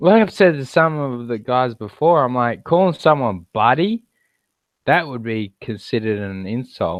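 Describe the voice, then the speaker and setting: With lively intonation, a man talks at a moderate pace and a medium pitch. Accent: Australian. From Australia. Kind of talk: casual chat.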